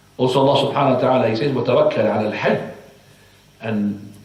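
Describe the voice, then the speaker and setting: With ordinary pitch variation, a man speaks amid noticeable background noise and audible room echo. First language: Arabic. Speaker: Islamic teacher. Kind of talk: religious lecture. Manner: halting.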